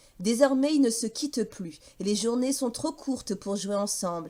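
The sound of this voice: A woman's fairly high voice, dark and mellow in tone, with lively intonation at a moderate pace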